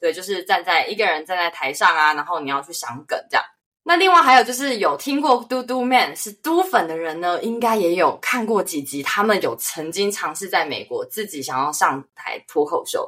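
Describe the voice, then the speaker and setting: A woman with a Taiwanese accent speaks at a moderate pace and medium pitch, her bright, sharp, animated voice swinging very widely in pitch and greatly in loudness with hardly any pauses. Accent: Taiwanese Mandarin. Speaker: podcast host. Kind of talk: casual chat.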